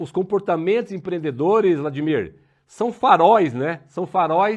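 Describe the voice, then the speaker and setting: A man speaks at a fairly slow pace in a high voice. The background is quiet. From southern Brazil, Paraná. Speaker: interview show host. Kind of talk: interview.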